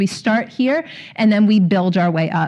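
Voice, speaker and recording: A woman at a medium pitch sounds somewhat breathy, with ordinary pitch variation. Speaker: literacy trainer. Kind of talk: conference presentation. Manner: fast.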